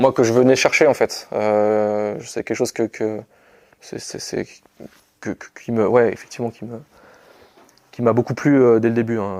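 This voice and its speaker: A man speaks at a medium pitch with fairly even intonation and long, frequent pauses. His loudness swings widely, and the sound is dry and close with no echo. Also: fairly slow pace. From western France, Anjou. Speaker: soldier, sergeant. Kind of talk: interview. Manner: halting, many repetitions and fillers.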